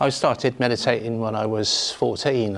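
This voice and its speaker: Fairly slow speech from a man at medium pitch, noticeable background noise behind it. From northern England. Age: 60s. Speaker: Buddhist teacher. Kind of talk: dharma talk. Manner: informal, hesitant with fillers.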